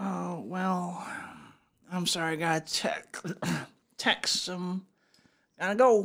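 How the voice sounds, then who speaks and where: In a put-on character voice, a female-sounding speaker uses a raspy, medium-pitched tone. The pace is very slow, with long, frequent pauses. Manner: slurred, sloppy.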